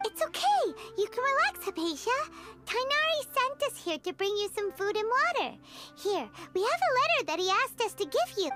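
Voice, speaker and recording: Extremely high, squeaky put-on character voice over clear music in the background. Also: fairly quick pace. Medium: video game. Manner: chatty, expressive.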